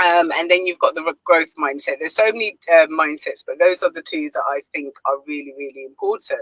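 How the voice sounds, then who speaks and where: A woman speaks at a fairly quick pace with a British accent. The sound is dry and close, with no echo. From Ghana. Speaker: online business owner and mentor. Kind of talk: live panel discussion.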